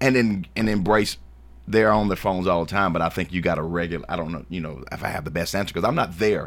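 A man with an American accent, very deep and low in pitch, very fast, with ordinary pitch variation, in a very clean recording with a silent background. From Shelbyville, Tennessee. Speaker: school board candidate. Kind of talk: radio interview.

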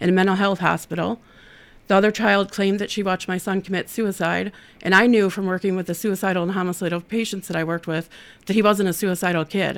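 A woman talks very fast at a medium pitch, her intonation monotone and flat. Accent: Midwestern American. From Ohio (Toledo). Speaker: nonprofit outreach director. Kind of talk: interview testimony.

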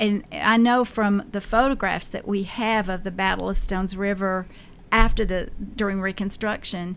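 At a fairly slow pace, a woman with a Tennessee accent talks in a medium pitch with monotone, flat intonation. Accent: Middle Tennessee Southern. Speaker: local historian. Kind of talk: radio interview. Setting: radio studio.

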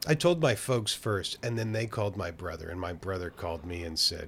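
In a very clean recording with a silent background, a man with an American accent talks at a fairly quick pace, his fairly low, somewhat breathy voice making very wide pitch swings. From Oakland, California. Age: 50s. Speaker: drummer and music teacher. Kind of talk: casual chat.

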